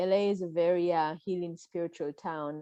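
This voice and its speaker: Against a quiet background, a woman with an Israeli accent speaks fairly quickly at a fairly low pitch. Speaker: podcaster and mental health coach. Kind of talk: casual interview chat. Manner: halting, many fillers.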